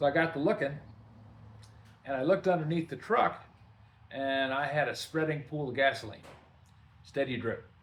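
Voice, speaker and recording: In a relaxed, somewhat breathy tone, a man with a fairly high pitch talks at a moderate pace, with ordinary pitch variation and long, frequent pauses. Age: 70s. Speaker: workshop video host, DIY mechanic. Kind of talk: casual storytelling to camera. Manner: relaxed, conversational with fillers.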